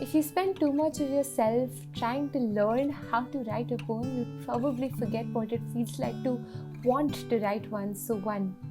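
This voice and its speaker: Music can be heard behind the speaker. She is a woman. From India. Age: 20s. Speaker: spoken word poet. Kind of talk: poetry reading.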